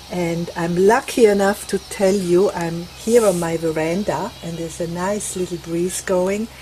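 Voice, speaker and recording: With a Swiss accent, the speaker moves at a fairly slow pace with fairly even intonation and big swings in loudness, amid noticeable background noise. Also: woman, fairly low pitch for a woman. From Switzerland. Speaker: craft vlogger. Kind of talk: tutorial; casual chat. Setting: outdoors on a veranda.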